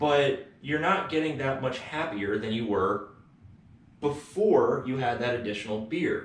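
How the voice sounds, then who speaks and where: There is audible room echo around this voice. A man speaks with a fairly high pitch. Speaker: economics lecturer. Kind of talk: lecture. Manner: casual, conversational.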